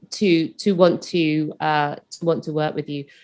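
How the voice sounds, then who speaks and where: A woman speaks at a moderate pace with a British accent. The background is quiet. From UK. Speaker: property investor and business coach. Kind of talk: interview.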